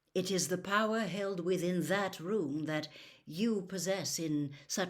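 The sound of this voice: It's an unforced reading voice with ordinary pitch variation.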